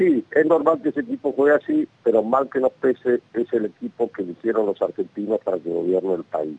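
A man at a fairly quick pace, with a dry, close sound and no echo. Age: 50s. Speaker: national congressman. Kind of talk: radio interview.

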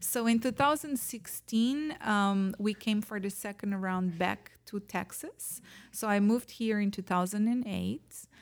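This woman speaks at a fairly slow pace with a Portuguese accent. The recording is very clean, with a silent background. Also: medium pitch for a woman, ordinary pitch variation. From Portugal. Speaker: real estate agent. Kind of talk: casual interview chat.

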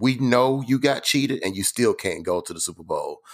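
The speaker talks at a moderate pace. The recording is very clean, with a silent background. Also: man. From Atlanta, Georgia. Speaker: sports fan guest. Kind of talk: casual chat.

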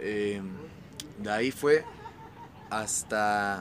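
The speaker is a man. The rise and fall of his pitch is ordinary. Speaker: rapper. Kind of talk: casual chat. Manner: casual slangy.

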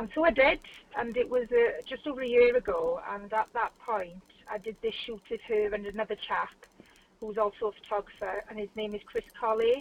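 A woman with an ordinary speaking voice talks at a fairly quick pace and a fairly high pitch, with ordinary pitch variation and a dry, close sound with no echo. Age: 40s. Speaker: model. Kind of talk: casual interview. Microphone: phone line, patchy sound.

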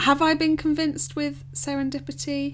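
A woman talks in an English accent. Noticeable background noise is present. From England. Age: 20s. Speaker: podcast co-host. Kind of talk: casual chat.

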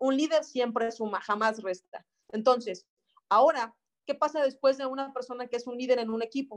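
High pitch, ordinary pitch variation and a moderate pace in a woman's speech. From Mexico, Celaya, Guanajuato. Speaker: network marketing team leader. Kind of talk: online training workshop. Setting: video call.

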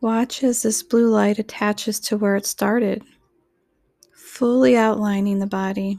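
A woman speaks at a fairly slow pace with fairly even intonation. Her tone is gentle, soothing, dark and mellow. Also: fairly high pitch for a woman. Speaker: guided meditation narrator. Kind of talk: guided meditation. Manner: slow, soothing, calm; gentle, repetitive, with long pauses.

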